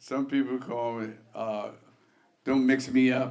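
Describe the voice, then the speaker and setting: With audible room echo, a man of medium pitch speaks at a fairly slow pace in monotone, flat intonation. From New York, Harlem. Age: 70s. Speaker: jazz pianist. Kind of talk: oral history interview. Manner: halting, many fillers.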